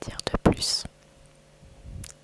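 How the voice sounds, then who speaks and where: A woman whispers over noticeable background noise. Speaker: ASMR creator. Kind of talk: ASMR whispering. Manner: whispering; hesitant, many fillers.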